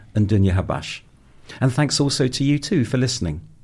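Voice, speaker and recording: A man's somewhat breathy voice with a southern English accent, ordinary pitch variation and a fairly quick pace. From North London, England. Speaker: podcast host. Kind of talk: scripted narration; panel discussion.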